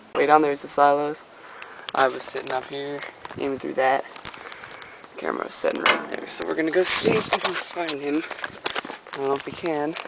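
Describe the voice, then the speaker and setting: Noticeable background noise surrounds a man speaking with fairly even intonation in a dry sound with no echo. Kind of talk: casual vlog chat. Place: farm machine. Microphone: phone near.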